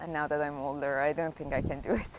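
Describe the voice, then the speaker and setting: A woman's very deep, low voice with a Persian accent. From Iran. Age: 20s. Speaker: graduate student. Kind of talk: interview. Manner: casual, filler-heavy.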